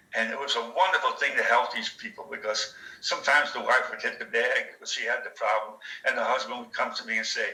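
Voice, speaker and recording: Over noticeable background noise, a man is speaking. His pace is very fast. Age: 80s+. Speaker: retired chef and speed bag enthusiast. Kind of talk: casual chat. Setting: video call. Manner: animated.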